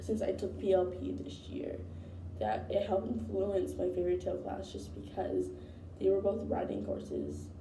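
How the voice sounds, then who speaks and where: There is noticeable background noise and audible room echo. Through it, a woman talks at a moderate pace. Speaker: college student. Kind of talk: spoken course reflection. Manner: hesitant with fillers.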